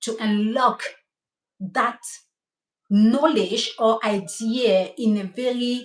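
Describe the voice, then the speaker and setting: An animated tone in a Cameroonian French accent. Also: woman. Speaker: hair stylist. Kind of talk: live stream talk. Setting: livestream.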